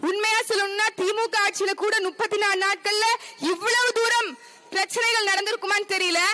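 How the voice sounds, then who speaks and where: Through noticeable background noise, a woman with an extremely high pitch uses a raised, projected voice with fairly even intonation. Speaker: political party women's wing functionary. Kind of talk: fiery protest speech at a rally. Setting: outdoors at a public demonstration. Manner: fiery, forceful, sarcastic.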